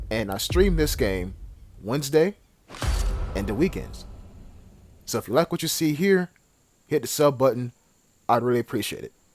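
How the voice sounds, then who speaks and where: Using vocal fry and lively intonation, a man at a medium pitch speaks at a moderate pace with long, frequent pauses. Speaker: gaming commentator. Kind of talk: gameplay commentary. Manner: aggressive.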